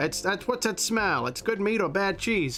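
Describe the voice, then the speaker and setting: Noticeable background noise accompanies the recording. A man talks at a fairly quick pace. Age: 30s. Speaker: animator streamer. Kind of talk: casual live stream chat while drawing. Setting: live stream.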